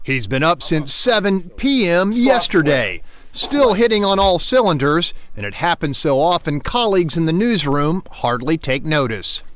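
A man with a high pitch speaks at a moderate pace, with very wide pitch swings. Noticeable background noise runs underneath. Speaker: TV news reporter. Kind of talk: TV news feature narration.

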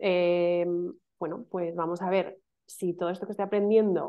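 Over a quiet background, a woman with an unremarkable speaking voice talks at a medium pitch and a moderate pace, her intonation fairly even. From Madrid, Spain; Spain. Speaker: email marketing specialist; interview guest. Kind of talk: casual interview chat. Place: home room. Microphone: video call.

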